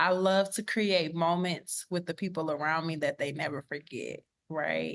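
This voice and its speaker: A woman with an American accent over a quiet background. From Texas, Beaumont. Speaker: professor. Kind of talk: podcast interview.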